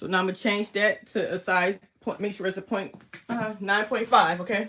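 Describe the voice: A woman talks at a moderate pace with fairly even intonation. Her tone is fairly bright. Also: medium pitch for a woman.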